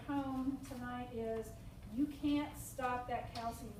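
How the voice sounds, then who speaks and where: Amid audible room echo, a woman talks at a high pitch and a fairly slow pace. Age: 60s. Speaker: nurse coordinator. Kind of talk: support group talk. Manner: halting, many fillers.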